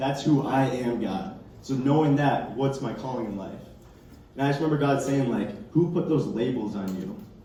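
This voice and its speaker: A man speaks at a medium pitch and moderate pace with ordinary pitch variation. Noticeable background noise and audible room echo are present. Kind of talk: testimony. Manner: casual, filler-heavy.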